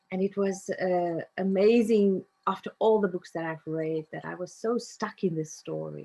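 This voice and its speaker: At a fairly slow pace, a woman with a South African accent speaks in a dark, mellow tone, with a dry, close sound and no echo. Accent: South African (Afrikaans) English. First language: Afrikaans. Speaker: narrative coach. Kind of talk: interview.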